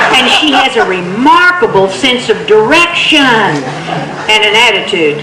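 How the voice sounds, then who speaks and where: This woman, speaking with an American accent, has a fairly high voice with very wide pitch swings. Her loudness stays very even at a fairly slow pace, and background noise is noticeable. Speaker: storyteller. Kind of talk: tall-tale storytelling performance. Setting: live stage with microphone. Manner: humorous, conversational.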